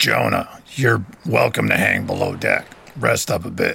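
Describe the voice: A man's put-on character voice, fairly low in pitch and fairly slow, with a bright, sharp tone, a husky, rough edge, vocal fry and very wide pitch swings.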